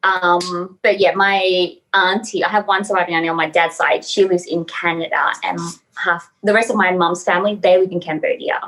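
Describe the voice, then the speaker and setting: Speaking with an Australian accent, a woman keeps a medium pitch, a moderate pace and a monotone, flat intonation. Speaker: model and actress. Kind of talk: interview.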